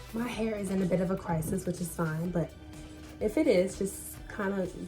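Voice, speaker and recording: A woman speaks at a fairly slow pace with medium pitch and ordinary pitch variation while music plays in the background. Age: 20s. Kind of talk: casual talk to camera. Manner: casual, chatty.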